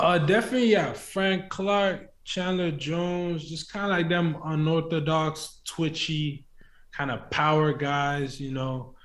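Audible room echo surrounds a man whose fairly high voice shows ordinary pitch variation. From Nigeria, then Scotland. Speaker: college football player, draft prospect. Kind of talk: interview.

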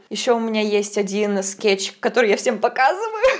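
A woman speaks at a fairly quick pace. Background noise is noticeable. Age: 20s. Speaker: podcast host. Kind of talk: casual chat. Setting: kitchen.

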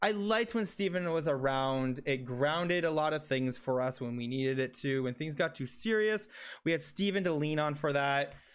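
Lively in intonation, a man with a normal speaking voice and a fairly high pitch talks at a moderate pace. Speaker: podcast host. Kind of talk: casual chat. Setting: remote call.

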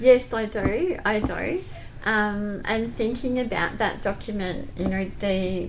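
A woman with an Australian accent and vocal fry, in audible room echo. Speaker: school principal. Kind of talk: casual interview. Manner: smiling.

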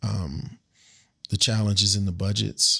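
Medium pitch, a fairly slow pace and a normal speaking voice from a man with an American accent, on a very clean recording with a silent background. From United States. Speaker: agricultural technology entrepreneur. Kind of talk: interview.

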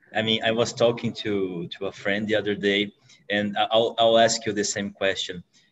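A man speaks at a moderate pace in a Portuguese accent. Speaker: podcast host. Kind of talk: interview. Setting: video call. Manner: halting.

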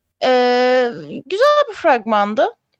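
A woman's voice, dry and close with no echo. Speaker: film and TV show co-host. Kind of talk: casual chat. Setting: live stream.

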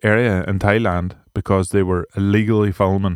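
Recorded very cleanly against a silent background, a man with an Irish accent comes across dry and close, with no echo. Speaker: podcast host. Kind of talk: solo podcast monologue. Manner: casual, rambling off the cuff.

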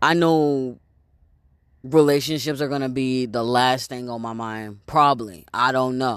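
A man's ordinary speaking voice at medium pitch, fairly even in intonation and fairly slow in pace, in a very clean recording with a silent background. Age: 30s. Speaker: video blogger. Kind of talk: casual monologue. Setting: outdoors. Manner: rambling with many fillers and repetitions.

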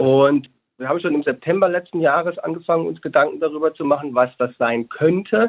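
A man with a plain, everyday voice speaks at a fairly quick pace and a fairly high pitch, with ordinary pitch variation. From Hesse, Germany (Babenhausen). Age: 30s. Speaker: educator and business co-founder. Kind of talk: interview.

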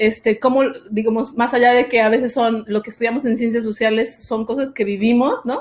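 Intonation stays monotone and flat while the words come at a fairly quick pace. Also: woman, fairly high pitch for a woman. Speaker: doctoral student. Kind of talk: interview.

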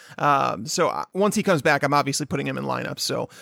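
A man talks very fast in an American accent. The sound is dry and close, with no echo. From Chicago, US Midwest. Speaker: fantasy football analyst, co-host. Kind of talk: casual chat.

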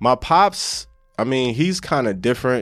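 A man's unremarkable speaking voice with an American accent at medium pitch, in a very clean recording with a silent background. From New Jersey (East Orange, Essex County). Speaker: musician. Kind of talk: casual chat.

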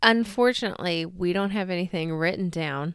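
At a moderate pace, a woman speaks in a normal speaking voice with ordinary pitch variation on a very clean recording with a silent background. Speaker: podcast host. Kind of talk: casual chat.

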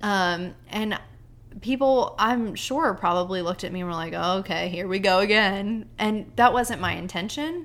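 A woman's ordinary speaking voice at medium pitch, moderate pace and ordinary pitch variation. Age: 20s. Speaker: army wife, teacher and stay-at-home mom. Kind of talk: casual chat.

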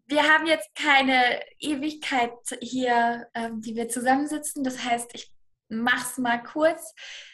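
A woman speaks very slowly in a high, bright, sharp voice. Her intonation stays fairly even. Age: 20s. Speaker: manifestation and money mindset coach. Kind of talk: podcast interview.

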